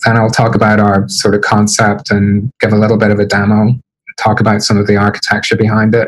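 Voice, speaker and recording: A man speaks at a very fast pace in a fairly low pitch, his intonation monotone and flat and his loudness very even. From Northern Ireland, Belfast. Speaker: developer advocate and manager. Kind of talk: tech talk on a livestream. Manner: hesitant, many fillers.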